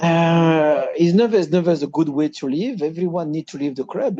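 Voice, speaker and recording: A man with a French accent speaks in a dark, mellow tone with ordinary pitch variation. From Reunion Island. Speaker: former footballer. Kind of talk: interview. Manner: halting.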